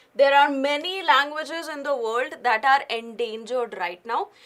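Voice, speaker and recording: This woman's raised, projected voice is high-pitched with a bright, sharp tone. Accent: Indian. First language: Hindi. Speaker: current affairs teacher. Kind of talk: lecture.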